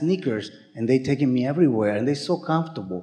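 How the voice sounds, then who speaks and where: A speaker with a non-native accent talks at a fairly quick pace against noticeable background noise. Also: man. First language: not English. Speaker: workshop participant. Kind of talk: casual chat. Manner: halting.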